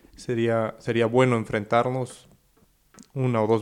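A man has a plain, everyday voice. He talks at a moderate pace. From Mexico. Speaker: football podcast co-host. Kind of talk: casual chat.

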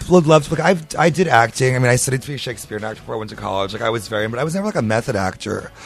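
A man at medium pitch talks at a very fast pace with lively intonation and hardly any pauses. Noticeable background noise is present. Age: 20s. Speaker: actor and drag performer. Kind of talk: casual chat.

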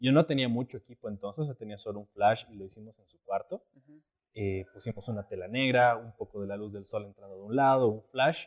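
An unremarkable speaking voice, this man talks at a fairly quick pace and medium pitch with ordinary pitch variation and big swings in loudness, the sound dry and close with no echo. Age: 20s. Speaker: photographer and actor. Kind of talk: casual chat.

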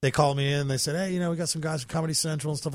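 A man with an American accent and ordinary pitch variation on a very clean recording with a silent background. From US South, North Carolina. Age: 40s. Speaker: comedian. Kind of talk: casual chat. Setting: studio.

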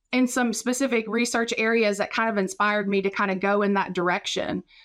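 In a very clean recording with a silent background, a woman with an American accent uses a normal speaking voice at a fairly high pitch, with ordinary pitch variation. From West Virginia, Raleigh County. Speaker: professor and podcast co-host. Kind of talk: casual chat.

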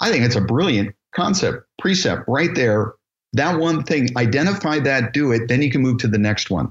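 The voice is somewhat breathy, with lively intonation, a moderate pace and very even loudness. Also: man, medium pitch for a man. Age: 50s. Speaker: assisted living business founder and educator. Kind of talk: interview.

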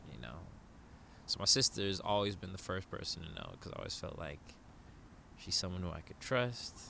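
In a bright, sharp tone with a very deep, low pitch and vocal fry, a man talks at a fairly quick pace with lively intonation, big swings in loudness and long, frequent pauses. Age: 30s. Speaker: yoga instructor and online community founder. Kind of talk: casual chat.

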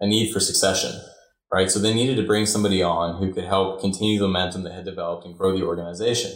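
A man speaks at a very fast pace with a fairly low pitch. His voice is somewhat breathy, and his intonation is fairly even. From mixed upbringing: Ireland, Chicago, Germany, Singapore. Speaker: student club president. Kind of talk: podcast interview.

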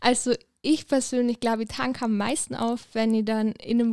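This woman talks at a moderate pace in a monotone, flat way. Her pitch is fairly high, and the sound is dry and close with no echo. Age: 20s. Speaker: student. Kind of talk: casual interview.

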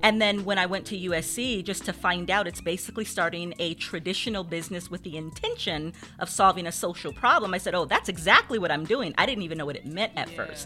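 A woman speaks very fast with hardly any pauses, her medium pitch moving in ordinary ways over noticeable background noise. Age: 40s. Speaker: social entrepreneur and former social worker. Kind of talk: interview. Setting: studio.

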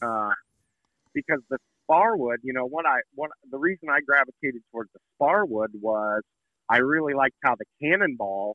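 Here a man speaks at a medium pitch. He has a plain, everyday voice. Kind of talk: casual phone chat.

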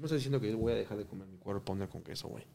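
A man talking at a very fast pace with ordinary pitch variation. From Mexico. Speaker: restaurateur. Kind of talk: casual chat.

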